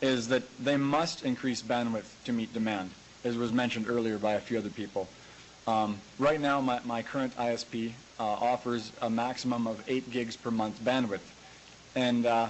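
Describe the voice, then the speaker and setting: A man with a Western Canadian accent speaks at medium pitch. His intonation is monotone and flat, at a moderate pace. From rural Alberta, Canada. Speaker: grain farmer and tech website owner. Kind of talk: conference presentation. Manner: hesitant, many filler words.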